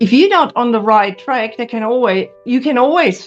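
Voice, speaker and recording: A woman with a fairly high pitch talks with lively intonation while music plays in the background. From Germany. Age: 60s. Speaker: pharmacist. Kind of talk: interview answer.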